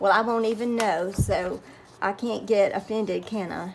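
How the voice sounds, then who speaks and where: A woman talks in a Southern US accent. Her voice is medium in pitch with ordinary pitch variation. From US South. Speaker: crafting YouTuber. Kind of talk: tutorial. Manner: slow.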